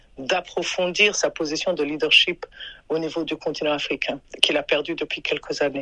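A woman speaks in a bright, sharp tone. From Burundi. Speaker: human rights advocate, former foundation staffer. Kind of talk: interview. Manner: halting, many hesitations.

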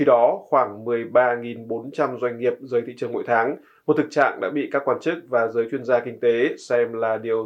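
A man with a normal speaking voice talks at a moderate pace and medium pitch. His intonation stays fairly even. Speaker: news presenter. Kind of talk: news reading. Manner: formal.

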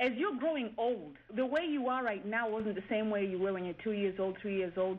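A woman with an unremarkable speaking voice talks at a fairly quick pace and a fairly high pitch, her intonation lively. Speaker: engineer and professor.

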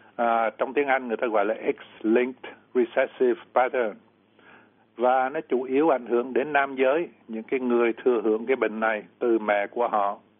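A man with an ordinary speaking voice talks at a moderate pace, his medium pitch held to fairly even intonation. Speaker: doctor answering medical questions. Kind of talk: lecture-style medical explanation.

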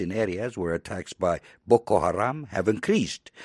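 Over a quiet background, a man with an ordinary speaking voice talks at a moderate pace and fairly low pitch with lively intonation, the sound dry and close with no echo. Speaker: news anchor. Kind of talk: formal newsreading. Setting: studio. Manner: formal, measured.

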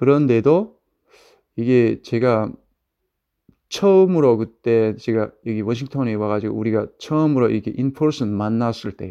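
Against a quiet background, a man with a dark, mellow tone and medium pitch speaks fairly slowly with ordinary pitch variation and long, frequent pauses. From North Korea. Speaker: North Korean defector, father. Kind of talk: interview storytelling.

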